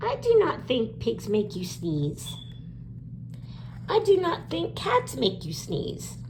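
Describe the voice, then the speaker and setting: Over loud background noise, a put-on character voice moves at a fairly slow pace with long, frequent pauses. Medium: read story. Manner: gentle, reassuring.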